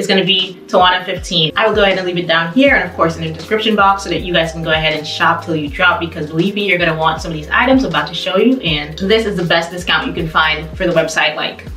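Very fast talk from a woman at fairly low pitch, hardly any pauses, ordinary pitch variation, audible room echo and light background noise. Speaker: fashion vlogger. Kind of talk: casual vlog chat. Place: home room. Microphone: camera far.

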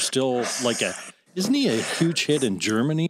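A man with an ordinary speaking voice moves along at a moderate pace, showing ordinary pitch variation. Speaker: podcast host. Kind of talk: interview questions.

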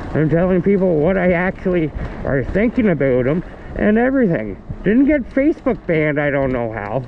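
A man speaks at a high pitch with very wide pitch swings. His pace is moderate, and there is light background noise. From Canada. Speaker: vlogger; e-bike vlogger. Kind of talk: casual rant. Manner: halting. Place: bicycle. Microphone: phone near.

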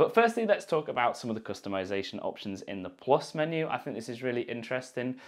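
This man speaks at a very fast pace with hardly any pauses, his loudness swinging widely. The background is quiet. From United Kingdom. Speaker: YouTuber. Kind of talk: tech review. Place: studio. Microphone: lapel.

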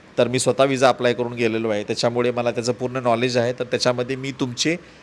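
The speaker is a man with a medium pitch. His intonation stays monotone and flat. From Maharashtra, Marathwada (Udgir, Latur district). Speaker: travel vlogger. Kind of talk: travel vlog narration.

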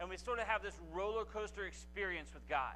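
Light background noise sits behind this recording. A man talks at a fairly quick pace. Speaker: guest preacher. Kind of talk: sermon. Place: church. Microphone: lapel.

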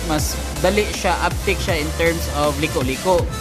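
Spoken at a moderate pace, the voice has clear music playing in the background. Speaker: car reviewer. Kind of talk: walkaround product overview. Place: shop. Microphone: phone near.

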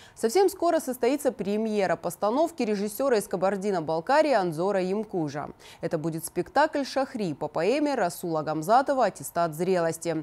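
A woman speaks at a moderate pace and medium pitch, with a dark, mellow tone and very wide pitch swings. The recording is very clean, with a silent background. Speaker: news anchor. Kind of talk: news reading. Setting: studio.

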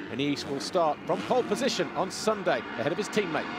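Over music in the background, a high-pitched man speaks at a moderate pace with very wide pitch swings. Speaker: race commentator. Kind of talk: race report voiceover recapping qualifying.

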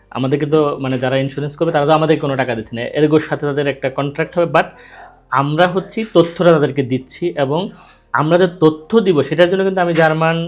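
The intonation stays fairly even. It is a normal speaking voice. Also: man, fairly high pitch for a man. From Bangladesh. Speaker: YouTube channel host. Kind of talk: interview.

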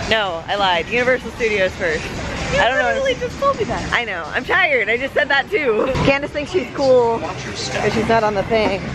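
Moderate-paced speech with hardly any pauses, dry and echo-free, over clear background music. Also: woman. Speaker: vlogger. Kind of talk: casual vlog chat. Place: street. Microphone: phone near.

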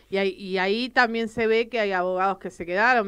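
The background is quiet. A woman speaks at a medium pitch with ordinary pitch variation. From Argentina. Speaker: lawyer and show host; lawyer, show host. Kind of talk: casual interview chat. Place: studio. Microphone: studio mic.

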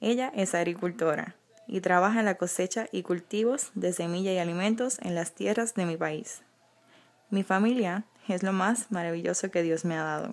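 A woman speaks at a moderate pace with a medium pitch. It is an ordinary speaking voice with ordinary pitch variation. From Puerto Rico. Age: 20s. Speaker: beauty pageant contestant. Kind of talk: scripted presentation.

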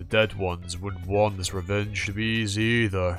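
A man speaks at a moderate pace in a fairly low pitch, with faint music behind him. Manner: stern, loyal, blunt.

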